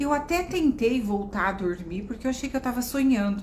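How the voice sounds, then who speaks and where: A woman's voice carries audible room echo. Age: 60s. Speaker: psychologist and oracle card therapist. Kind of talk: live-stream spiritual talk. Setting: live stream.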